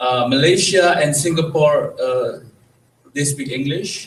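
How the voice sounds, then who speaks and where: A man with an Indonesian accent speaks at a fairly slow pace with ordinary pitch variation, and audible room echo can be heard. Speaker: presenter at cultural event. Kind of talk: lecture. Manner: halting.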